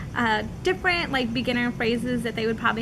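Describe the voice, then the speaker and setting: A woman's fairly high voice with ordinary pitch variation, noticeable background noise and audible room echo. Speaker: video podcast co-host. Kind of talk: casual chat.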